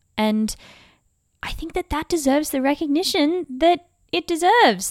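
In an Australian accent, a woman with a high pitch and very wide pitch swings speaks with a dry, close sound and no echo. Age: 20s. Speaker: musical theatre performer and podcast host. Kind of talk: casual monologue. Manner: animated.

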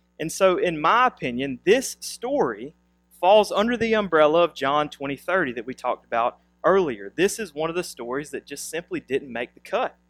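Over background music, a man with a high pitch swings it very widely at a moderate pace, the sound dry and close with no echo. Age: 30s. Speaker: pastor. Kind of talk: sermon; prayer.

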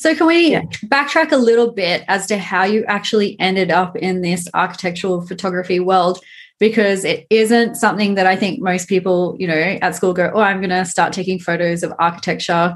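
A woman speaks at a fairly quick pace with an Australian accent. Her pitch sits in the middle of her range, varies in an ordinary way, and the background is quiet. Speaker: podcast host and town planner. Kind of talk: casual interview chat.

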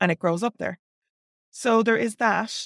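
In a very clean recording with a silent background, a woman with an Irish accent speaks with ordinary pitch variation, the sound dry and close with no echo. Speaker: author and pagan teacher. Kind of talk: solo talk to camera. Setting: video recording.

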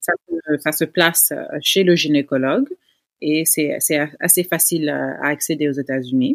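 A woman at a fairly slow pace, on a very clean recording with a silent background and a dry, close sound with no echo. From United States (Senegalese family). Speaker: gynecologist-obstetrician. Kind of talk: interview.

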